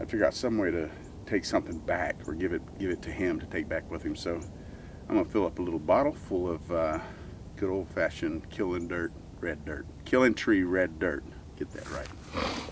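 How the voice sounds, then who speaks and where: Speaking at a moderate pace, a man with a very deep, low pitch and a somewhat breathy voice shows ordinary pitch variation, in a dry sound with no echo against noticeable background noise. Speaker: website host. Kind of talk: casual outdoor talk to camera. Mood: calm, slightly wistful. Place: open country.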